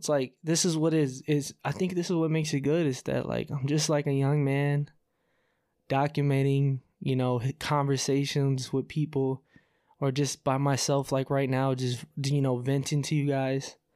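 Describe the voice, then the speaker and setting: A man with an unremarkable speaking voice, fairly high pitch, fairly even intonation and very even loudness, on a very clean recording with a silent background. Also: moderate pace. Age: 20s. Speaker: podcast host. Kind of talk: solo vent monologue. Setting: recording at home on camera. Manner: casual, many fillers.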